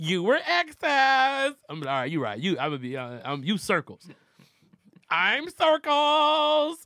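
A man's raised, projected voice, high-pitched with a bright, sharp tone, very wide pitch swings and a fairly slow pace. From Detroit. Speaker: comedian. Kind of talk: casual chat.

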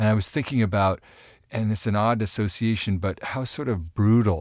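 A man with an unremarkable speaking voice, ordinary pitch variation and moderate pacing, on a very clean recording with a silent background. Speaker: advice podcast co-host. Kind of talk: casual chat. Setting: studio.

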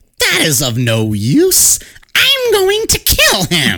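Someone in a put-on character voice speaks at a very slow pace. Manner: menacing.

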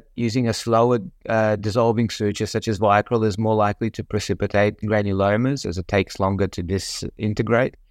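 The speaker has an Australian accent and talks at a moderate pace with fairly even intonation. The sound is dry and close with no echo, over a quiet background. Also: man. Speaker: colorectal surgeon. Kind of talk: educational medical discussion.

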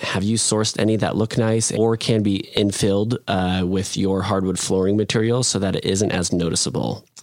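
Against noticeable background noise, a man talks at a moderate pace in a fairly low pitch with ordinary pitch variation. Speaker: podcast co-host reading listener questions. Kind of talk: casual chat.

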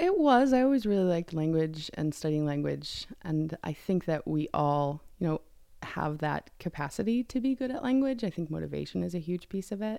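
On a very clean recording with a silent background, a woman with a fairly low pitch and a dark, mellow tone moves through very wide pitch swings at a moderate pace. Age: 40s. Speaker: graduate student in speech pathology. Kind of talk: casual chat. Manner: animated, laughs often.

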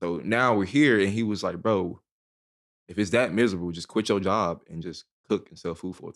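A man with an American accent and a plain, everyday voice speaks at a moderate pace with a fairly low pitch, ordinary pitch variation and big swings in loudness, in a very clean recording with a silent background. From Dallas, Texas (South Oak Cliff). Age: 20s. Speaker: private chef. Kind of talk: casual chat. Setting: studio.

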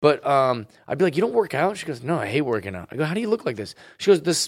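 A man talks at a very fast pace with a fairly high pitch and vocal fry. His pitch swings very widely. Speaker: comedian. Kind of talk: casual chat. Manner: animated.

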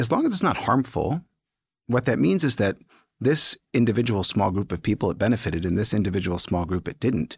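Somewhat breathy, a man talks at a fairly quick pace in an American accent. The sound is dry and close, with no echo. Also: fairly low pitch for a man, very clean recording, silent background. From US, Baltimore. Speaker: fertility doctor. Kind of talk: expert interview.

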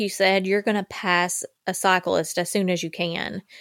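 The speaker talks at a moderate pace in an Appalachian accent. The recording is very clean and silent behind the voice, with a dry, close sound and no echo. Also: woman. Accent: Appalachian Southern US. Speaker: true crime podcast host. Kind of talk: scripted narration and casual chat.

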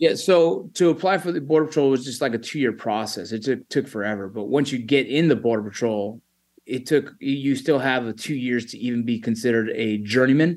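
This man has an ordinary speaking voice, medium in pitch with ordinary variation, and he talks at a fairly quick pace with hardly any pauses. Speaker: army veteran and former border patrol agent. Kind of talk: interview conversation. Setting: video call.

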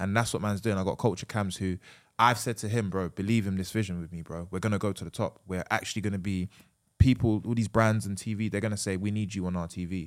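A man with a London accent talks very fast at a fairly low pitch. His intonation stays fairly even, and the recording is very clean with a silent background. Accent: Multicultural London English. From London, Sierra Leonean heritage. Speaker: YouTuber and football presenter. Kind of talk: casual chat.

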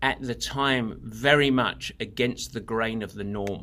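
A man with an English accent, a bright, sharp tone and medium pitch talks at a fairly slow pace with fairly even intonation in a very clean recording with a silent background. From England. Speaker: endurance coach. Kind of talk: interview.

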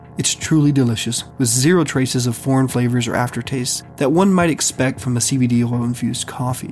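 Music plays as a man speaks at a fairly quick pace with hardly any pauses. His medium pitch shows ordinary variation. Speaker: podcast host. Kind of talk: scripted narration with ad reads. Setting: Austin, Texas. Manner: formal.

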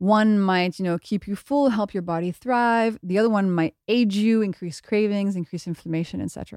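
A woman with a French accent, medium pitch and a dark, mellow tone at a fairly quick pace, on a very clean recording with a silent background and a dry, close sound with no echo. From France. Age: 30s. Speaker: biochemist and author. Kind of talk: casual interview. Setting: studio.

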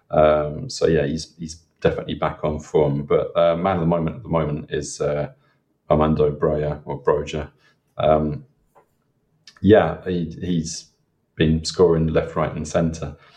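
A man speaks at a fairly slow pace with fairly even intonation and long, frequent pauses. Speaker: Southampton fan. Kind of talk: casual chat.

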